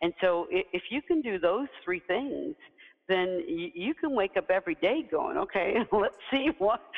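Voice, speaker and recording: The speaker has an American accent and talks at a fairly slow pace with very wide pitch swings. The sound is dry and close with no echo, though there is noticeable background noise. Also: woman. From US South. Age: 50s. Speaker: CEO and leadership coach. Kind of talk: interview. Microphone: poor audio.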